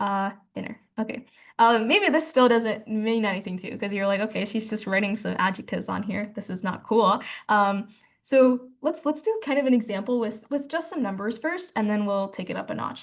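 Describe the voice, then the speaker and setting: Using an American accent, a woman speaks fairly quickly at a fairly high pitch with ordinary pitch variation. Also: quiet background. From US South, Georgia. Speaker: math tutor. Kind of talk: online class lecture. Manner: fast; casual, filler-heavy.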